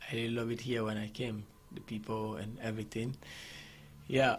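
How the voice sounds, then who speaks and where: Noticeable background noise can be heard while a man speaks. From Ghana. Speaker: MC and DJ. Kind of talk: radio interview. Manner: halting.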